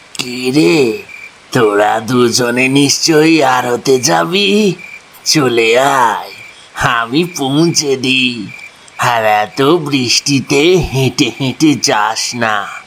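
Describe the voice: Using a cartoonish character voice, a man talks at a very slow pace in a medium pitch.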